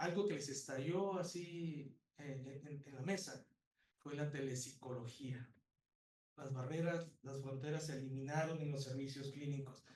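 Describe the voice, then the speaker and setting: A man with a fairly high, somewhat breathy voice talks at a fairly quick pace in a fairly even intonation, with audible room echo. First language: Spanish. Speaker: psychology professor. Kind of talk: conference talk. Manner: halting.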